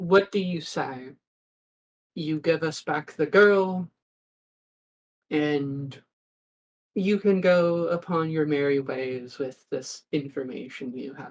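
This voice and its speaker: In a put-on character voice, a booming, middle-pitched speaker talks at a fairly slow pace. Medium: actual play. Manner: smooth, courteous, veiled threats.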